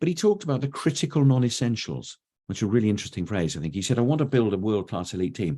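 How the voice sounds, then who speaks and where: With an English accent, a man talks at a very fast pace in a dark, mellow tone, his pitch swinging very widely. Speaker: education consultant, webinar presenter. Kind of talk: webinar presentation. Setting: online webinar. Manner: conversational, with frequent hesitations.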